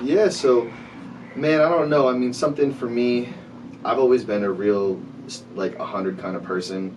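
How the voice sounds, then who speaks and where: A man talks at a moderate pace and medium pitch with lively intonation. Audible room echo and noticeable background noise surround him. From Rhode Island, Providence. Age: 20s. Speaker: artist, producer and CBD business owner. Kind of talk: podcast interview.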